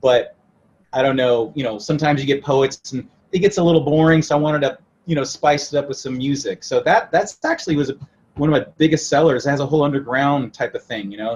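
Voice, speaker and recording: A somewhat breathy, fairly high-pitched man with a West Coast US accent, at a fairly quick pace with ordinary pitch variation. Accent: General American, West Coast. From mixed: Italy, then various US states. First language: Italian. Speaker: rock musician. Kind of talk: interview. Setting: remote interview.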